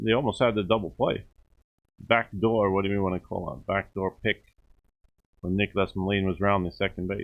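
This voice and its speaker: A man with a New York accent talks at a fairly quick pace, with fairly even intonation. He leaves long, frequent pauses. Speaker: baseball commentator. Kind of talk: live commentary.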